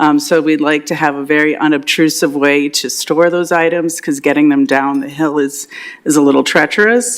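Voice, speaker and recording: There is noticeable background noise behind this woman's very deep, low voice. Her pace is moderate and her pitch variation ordinary. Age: 60s. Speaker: property owner applying for variance. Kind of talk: public meeting testimony. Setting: council chambers meeting. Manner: hesitant, many fillers.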